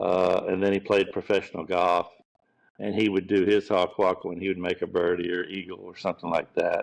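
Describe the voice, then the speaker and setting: A man with a Gulf Coast Southern US accent talks at a fairly quick pace. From US South, Pensacola, Florida. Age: 60s. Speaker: professional golf caddie. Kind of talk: podcast interview. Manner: relaxed storytelling.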